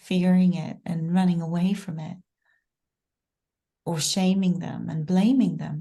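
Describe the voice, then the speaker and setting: Somewhat breathy and dark, mellow in tone, a woman speaks at a fairly low pitch with fairly even intonation and big swings in loudness. Her pace is fairly slow, with long, frequent pauses. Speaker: podcast host. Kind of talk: interview question.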